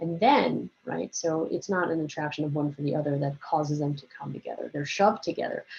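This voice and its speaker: Talking at a fairly quick pace with hardly any pauses, a woman is heard over noticeable background noise. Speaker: biology teacher. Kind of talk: recorded lecture. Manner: casual, conversational with fillers.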